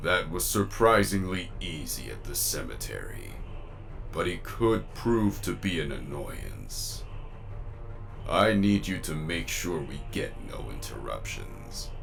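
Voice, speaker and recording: A man delivers a put-on character voice at a fairly slow pace against clear background noise. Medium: machinima. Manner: scheming, self-assured.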